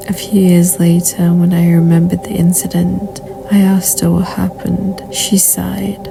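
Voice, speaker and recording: Background music plays while a woman talks fairly slowly. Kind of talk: horror story narration read to camera.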